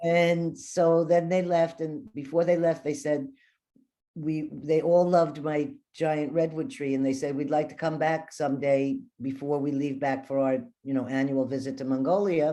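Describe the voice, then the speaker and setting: Against a quiet background, a woman speaks with a very deep, low pitch, a dark, mellow tone and fairly even intonation. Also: moderate pace. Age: 60s. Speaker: shaman. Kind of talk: interview storytelling. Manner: casual, halting with fillers.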